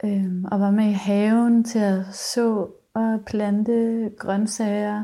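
The recording is very clean, with a silent background. The tone is dark and mellow, and the intonation stays fairly even. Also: woman. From rural Denmark. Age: 20s. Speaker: musician and singer-songwriter. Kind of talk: casual interview chat.

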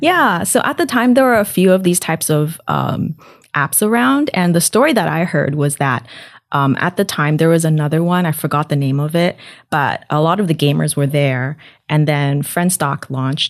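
At a moderate pace, a woman talks in a very deep, low pitch with very even loudness. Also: lively intonation. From Taiwan. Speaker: startup founder. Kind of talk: interview.

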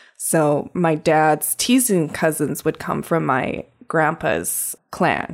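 Very slowly and at a very even loudness, a woman talks in a very deep, low voice with ordinary pitch variation. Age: 40s. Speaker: artist. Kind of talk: interview.

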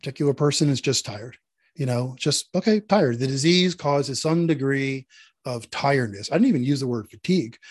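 A man with an American accent speaks in a plain, everyday voice at a moderate pace. His pitch is fairly high, and his intonation is lively. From Philadelphia. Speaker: author. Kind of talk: interview.

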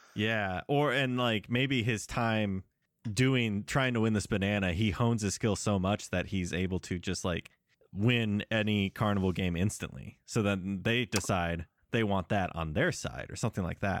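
At a moderate pace, a man talks in an ordinary speaking voice, fairly low in pitch. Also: ordinary pitch variation. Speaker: comedy podcast host. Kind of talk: casual comedy banter.

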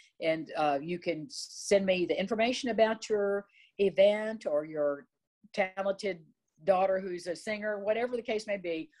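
Her voice is an ordinary speaking voice, as a woman speaks at a medium pitch and a moderate pace with ordinary pitch variation. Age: 60s. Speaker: TV lifestyle show host. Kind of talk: interview.

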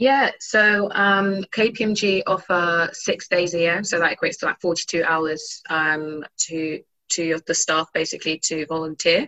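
A woman's plain, everyday voice at medium pitch, fairly slow pace, and ordinary pitch variation. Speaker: technology audit graduate. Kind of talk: webinar panel talk.

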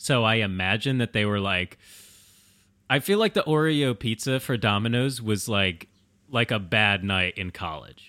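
A man with an American accent speaks at a moderate pace in a fairly low pitch, his tone bright and sharp with ordinary pitch variation, on a very clean recording with a silent background and a dry, close sound with no echo. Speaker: podcast host. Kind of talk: casual chat.

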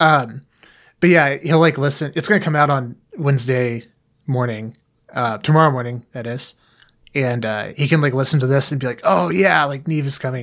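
Here a man talks at a moderate pace, his pitch medium with ordinary variation. The recording is very clean and the background silent. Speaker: podcast co-host. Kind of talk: casual chat. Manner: hesitant, many filler words.

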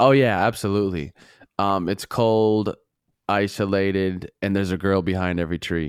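In a plain, everyday voice, a man with an American accent speaks at a moderate pace with a fairly low pitch and fairly even intonation, on a very clean recording with a silent background. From Minnesota, US Midwest. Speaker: podcast guest, former military nuclear weapons guard. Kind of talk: casual chat. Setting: studio.

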